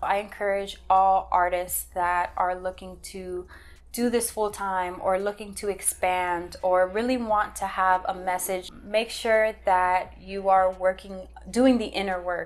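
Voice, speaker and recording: Speaking with an American accent, a woman keeps a fairly slow pace. Her medium pitch follows fairly even intonation. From Miami, Florida. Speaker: visual artist and author; interviewee. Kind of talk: interview monologue. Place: home room.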